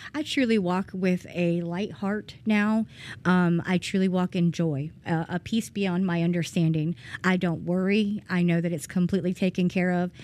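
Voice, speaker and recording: The recording is very clean with a silent background. A woman speaks with a Georgia accent at a moderate pace. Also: fairly low pitch for a woman, fairly even intonation. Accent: Southern American (Georgia). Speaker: person in addiction recovery. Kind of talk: testimony. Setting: church. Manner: hesitant, many ums.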